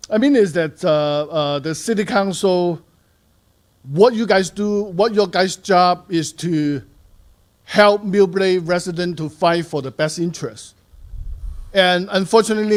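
A man speaks with a high pitch. His pace is moderate and his pitch variation ordinary. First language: not English. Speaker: resident giving public comment. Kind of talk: public comment at council meeting. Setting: city council meeting. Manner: halting.

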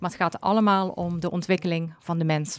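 A woman talks at a moderate pace with fairly even intonation, in a dry sound with no echo against a quiet background. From Zuid-Limburg, Netherlands; Limburg, Netherlands. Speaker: coach and therapist; coach. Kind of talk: interview. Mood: calm, friendly. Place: studio. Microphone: studio mic.

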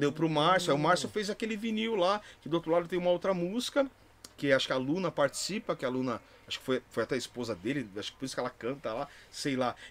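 A man at a very fast pace with very wide pitch swings, over light background noise. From São Paulo, Brazil (Barra Funda); São Paulo, Brazil. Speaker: DJ and music producer; DJ. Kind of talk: casual chat. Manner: animated. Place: studio. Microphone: studio mic.

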